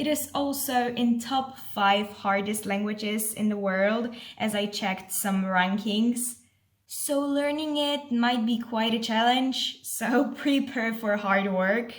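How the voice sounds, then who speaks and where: Polish-accented female voice at a very slow pace, fairly high in pitch with ordinary pitch variation, plus audible room echo. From Poland. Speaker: vlogger, exchange volunteer. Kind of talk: casual vlog. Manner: lively.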